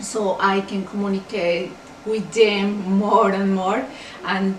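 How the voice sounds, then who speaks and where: Speaking fairly slowly with a Spanish accent, a woman at medium pitch is heard over noticeable background noise and audible room echo. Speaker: bilingual parent counselor. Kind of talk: tribute message.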